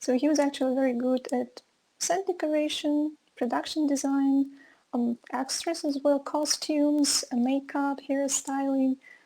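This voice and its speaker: With a Russian accent, a woman speaks at a high pitch and a fairly slow pace in a dark, mellow tone, her intonation fairly even and her loudness very even. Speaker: film course teacher. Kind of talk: online lecture. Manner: hesitant, many fillers.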